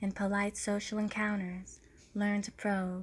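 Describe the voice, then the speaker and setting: A soft-spoken woman talks at a fairly slow pace in a medium-pitched, somewhat breathy voice. Her tone is gentle and her intonation monotone and flat. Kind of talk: ASMR book reading for sleep and relaxation. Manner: soft, gentle.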